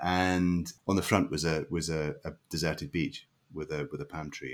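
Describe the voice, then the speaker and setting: Speaking with a Scottish accent, a man has a very deep, low pitch and vocal fry. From Scotland, Leven, Fife. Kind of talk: interview.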